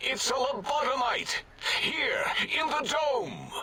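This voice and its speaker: A put-on character voice from a man, extremely high-pitched, at a fairly slow pace. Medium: video game. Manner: earnest, histrionic.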